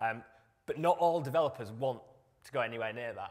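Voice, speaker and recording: In a very clean recording with a silent background, a man with a British accent talks very fast, his pitch varying in an ordinary way. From UK. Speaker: software developer, conference speaker. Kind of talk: conference talk. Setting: stage with audience. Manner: halting, many fillers.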